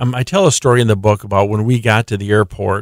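The recording is very clean, with a silent background. A man speaks in a fairly low pitch with ordinary pitch variation and an Upper Midwest accent. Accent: Upper Midwest American. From South Dakota. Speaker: nonprofit founder and author. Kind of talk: radio interview.

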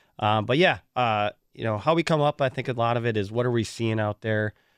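Speaking with an Upper Midwest US accent, a man talks at a fairly quick pace in a fairly low pitch with ordinary pitch variation. The background is quiet and the sound is dry and close with no echo. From Wisconsin (Waukesha). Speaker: youth sports event director. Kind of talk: radio interview.

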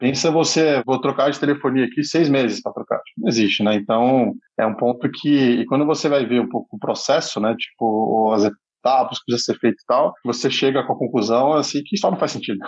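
A man speaks at a fairly quick pace with hardly any pauses, in a normal speaking voice. His pitch is medium with ordinary variation. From Brazil, Brasília. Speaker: startup founder and CEO. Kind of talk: casual podcast interview. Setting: studio.

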